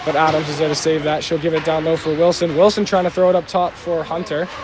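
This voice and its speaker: With noticeable background noise behind him, a man speaks at a very fast pace. His high pitch stays in a flat monotone. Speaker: amateur hockey play-by-play commentator. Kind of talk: live commentary. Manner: stumbling, self-correcting.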